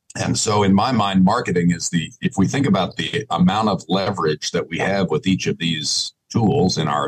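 A man with a fairly low pitch talks at a moderate pace with lively intonation. It's an unremarkable speaking voice, recorded dry and close with no echo. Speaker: ranching business advisor. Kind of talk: casual interview.

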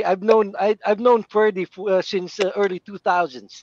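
The man's moderate-paced speech sounds dry and close, with no echo at all. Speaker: paintball player. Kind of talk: casual chat. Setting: video call.

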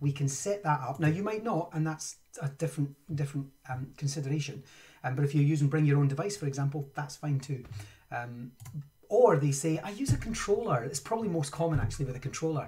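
Against a quiet background, a man with a dark, mellow tone speaks very fast, somewhat breathy, with ordinary pitch variation. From Scotland. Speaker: Minecraft education trainer and live streamer. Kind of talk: live-streamed tutorial. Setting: home studio, live stream. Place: home room.

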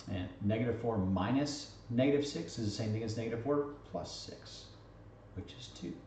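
Audible room echo and light background noise surround a man who speaks at a moderate pace with ordinary pitch variation. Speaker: math teacher. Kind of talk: lecture.

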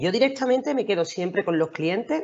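Lively intonation marks a woman talking at a fairly quick pace. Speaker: lawyer, panel regular. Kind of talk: casual panel discussion. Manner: fast.

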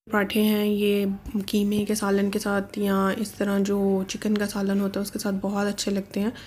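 A somewhat breathy woman speaks at a medium pitch in a monotone, flat intonation, with very even loudness and hardly any pauses. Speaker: vlogger. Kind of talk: cooking vlog narration. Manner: casual, hesitant fillers.

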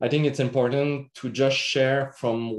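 A man speaks with a French accent. His pitch varies in an ordinary way. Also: quiet background. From Quebec. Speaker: agronomist; presenter. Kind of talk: workshop presentation. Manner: halting, many fillers. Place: home room. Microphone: webcam.

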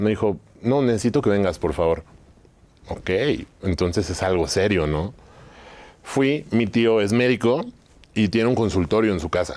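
A man with a Mexican accent and a fairly low pitch speaks at a moderate pace with lively intonation and long, frequent pauses. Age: 30s. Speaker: entrepreneur, trading company founder; interview guest. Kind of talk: interview. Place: studio. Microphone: lapel.

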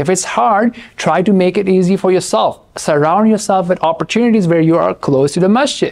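At a moderate pace and with hardly any pauses, a man speaks at a high pitch with ordinary pitch variation. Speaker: presenter. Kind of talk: lecture. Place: studio. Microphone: lapel.

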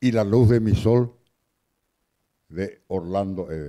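The man speaks slowly with ordinary pitch variation. His tone is dark and mellow.

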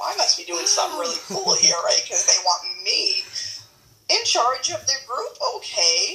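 Over light background noise and audible room echo, a woman with an extremely high pitch uses a raised, projected voice with very wide pitch swings at a moderate pace. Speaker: keto group admin. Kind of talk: casual chat. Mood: cheerful, chatty. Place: kitchen. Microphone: phone near.

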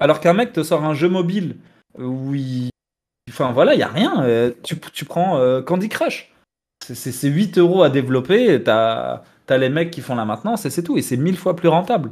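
Over a quiet background, a man with a plain, everyday voice talks at a fairly slow pace, his fairly high pitch carried by lively intonation. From Tunisian heritage, France. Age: 30s. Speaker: video game commentator. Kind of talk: casual debate. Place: home room. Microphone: headset.

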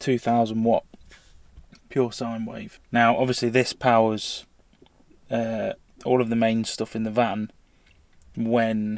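A man speaking very slowly in a flat monotone with long, frequent pauses, dry with no echo against a quiet background. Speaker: van-life vlogger. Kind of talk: casual tutorial vlog. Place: car. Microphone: phone near.

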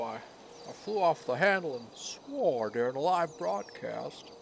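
Over clear background noise, a man uses a gruff, put-on character voice pitched fairly high, speaking at a moderate pace. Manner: defensive, gruff, profane.

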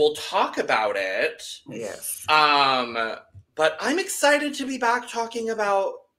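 A man speaks at a fairly slow pace in a bright, sharp tone. His pitch swings very widely. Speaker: podcast co-host. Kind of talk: casual podcast chat. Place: home room.

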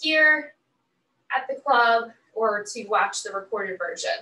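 In a raised, projected voice, a woman speaks at a fairly slow pace with ordinary pitch variation. Audible room echo surrounds her. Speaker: fitness instructor. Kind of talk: workout class instruction. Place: home room. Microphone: camera far.

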